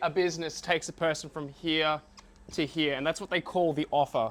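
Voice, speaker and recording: A man talks with an Australian accent. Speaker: business owner and marketing coach. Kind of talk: talk to a live audience. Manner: casual.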